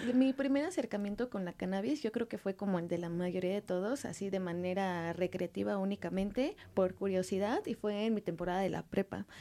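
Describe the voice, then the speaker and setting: A woman talks at a fairly quick pace with hardly any pauses, in a dark, mellow tone. Her pitch is medium with ordinary variation, and the recording is very clean with a silent background. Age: 30s. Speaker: cosmetics entrepreneur. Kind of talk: casual interview. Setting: radio studio.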